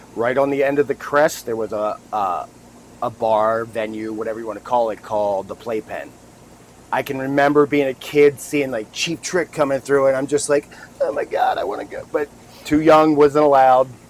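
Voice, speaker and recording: Noticeable background noise sits behind a man speaking at a medium pitch and moderate pace. His pitch varies in an ordinary way. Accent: American. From New Jersey, Wildwood. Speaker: podcast co-host. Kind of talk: casual chat.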